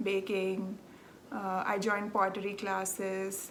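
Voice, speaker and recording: With audible room echo around her, a woman speaks at a fairly slow pace in a Telugu accent. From South India, Andhra Pradesh. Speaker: knitting podcaster. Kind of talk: casual chat. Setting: home. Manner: chatty, many filler ums.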